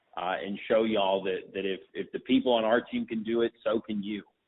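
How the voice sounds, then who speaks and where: Here a man with an American accent talks at a moderate pace. His medium-pitched voice stays monotone, with flat intonation. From Texas, north Dallas. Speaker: young conservative campaign organizer. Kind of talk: interview.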